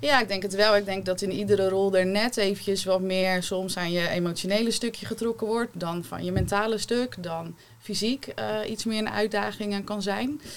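At a moderate pace and with hardly any pauses, a woman speaks at a medium pitch with fairly even intonation in an unremarkable speaking voice. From Rotterdam-Zuid, Netherlands. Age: 30s. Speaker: holistic therapist. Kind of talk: panel discussion.

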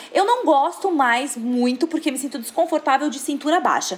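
With noticeable background noise, a woman speaks animatedly at a high pitch and fairly quick pace, her pitch swinging very widely. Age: 30s. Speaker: fashion influencer. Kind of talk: casual chat.

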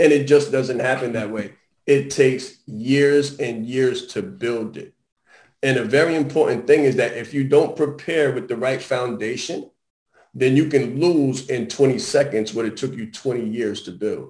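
In a normal speaking voice of medium pitch, a man talks at a fairly slow pace, with ordinary pitch variation and big swings in loudness. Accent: American. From Harlem, New York. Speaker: business strategist and brand consultant. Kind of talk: interview.

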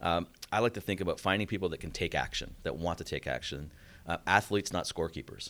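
This man talks at a very fast pace with a very deep, low pitch and vocal fry. His tone is bright and sharp, with ordinary pitch variation. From Canada. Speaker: tech company CEO. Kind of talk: interview. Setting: company office.

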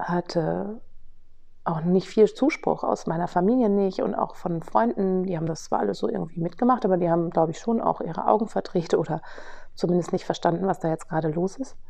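A woman's fairly low-pitched, normal speaking voice, with ordinary pitch variation at a moderate pace. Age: 40s. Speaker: podcast host and business coach. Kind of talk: personal storytelling monologue. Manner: casual with frequent fillers.

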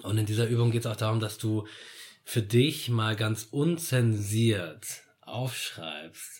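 Somewhat breathy and fairly low in pitch, a man talks at a very slow pace with ordinary pitch variation. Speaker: podcast guest. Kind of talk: casual conversation about grief and death.

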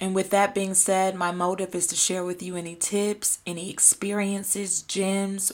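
Speaking with an American accent, a woman delivers her words at a fairly slow pace in a medium pitch with monotone, flat intonation. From US South, Atlanta, Georgia. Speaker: podcast host and lifestyle content creator. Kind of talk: solo podcast monologue.

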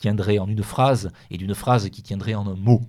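A man with a normal speaking voice talks at a moderate pace, his pitch medium with ordinary variation. The recording is very clean, with a silent background. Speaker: author. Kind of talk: radio interview.

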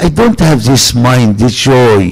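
Noticeable background noise accompanies a man speaking at a fairly slow pace. His medium-pitched voice has lively intonation. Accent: Arabic. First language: Arabic. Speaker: preacher. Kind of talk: sermon. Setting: church gathering with audience. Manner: animated.

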